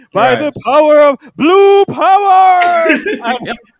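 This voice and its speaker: Using a put-on character voice, a man talks at a very slow pace with an extremely high pitch. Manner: epic, dramatic.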